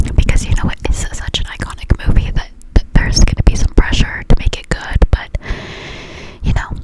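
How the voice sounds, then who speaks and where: The whispering moves at a fairly quick pace. Background noise is noticeable behind it. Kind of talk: ASMR casual talk. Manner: close whispers.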